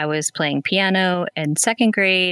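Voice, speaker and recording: A woman with an American accent speaks at a fairly slow pace, with fairly even intonation and an ordinary speaking voice. The sound is dry and close with no echo, on a very clean recording with a silent background. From central Pennsylvania (Lewisburg). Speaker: middle school band director. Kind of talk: podcast interview.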